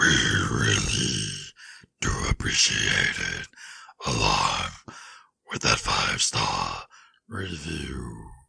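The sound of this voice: A raspy, put-on character voice moves at a very slow pace with long, frequent pauses. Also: man, very deep, low pitch for a man.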